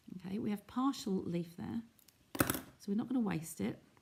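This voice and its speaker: A woman speaks at a medium pitch and a fairly quick pace, with ordinary pitch variation. Noticeable background noise runs underneath. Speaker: craft demonstrator. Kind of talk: live craft tutorial. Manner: casual, chatty.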